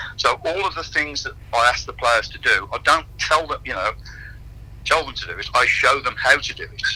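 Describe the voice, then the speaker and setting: A man's loudness swings widely as he speaks at a moderate pace, with noticeable background noise behind him. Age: 60s. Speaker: fitness and conditioning coach. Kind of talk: radio interview.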